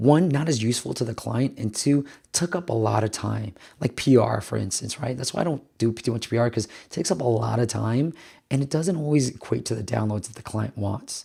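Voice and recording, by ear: A man speaks at a fairly quick pace in a dark, mellow tone that is raspy, with a slightly husky edge and vocal fry. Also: medium pitch for a man, ordinary pitch variation, very clean recording, silent background.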